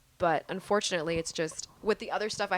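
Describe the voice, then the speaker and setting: Speech comes at a fairly quick pace. The intonation is fairly even. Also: woman. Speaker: singer and college student. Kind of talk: casual chat.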